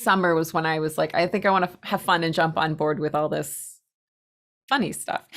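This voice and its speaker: A woman with a slight New England accent and ordinary pitch variation, in a very clean recording with a silent background. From Massachusetts, US (Spencer, near Worcester). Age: 40s. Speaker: pottery teacher and maker. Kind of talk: casual interview chat.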